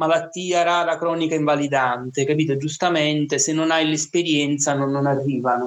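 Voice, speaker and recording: This man has an unremarkable speaking voice, fairly high in pitch. He keeps a moderate pace and a fairly even intonation. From Naples, Italy. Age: 20s. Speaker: teacher, rare disease patient. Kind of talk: interview, personal testimony.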